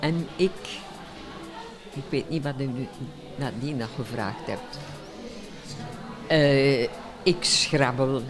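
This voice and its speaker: Over clear background music, a woman with a very deep, low pitch talks at a very slow pace, leaving long, frequent pauses. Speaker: competitive Scrabble player. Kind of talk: interview answer. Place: hall. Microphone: handheld.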